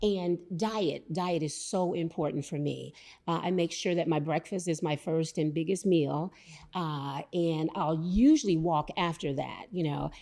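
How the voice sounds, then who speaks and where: Using a plain, everyday voice, a woman talks at a fairly low pitch and a fairly slow pace with fairly even intonation. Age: 60s. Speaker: podcast guest. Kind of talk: casual chat.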